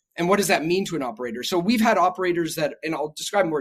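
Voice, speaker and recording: The speaker's tone is animated, with ordinary pitch variation. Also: man. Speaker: tech company founder and CEO. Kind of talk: podcast interview. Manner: fast.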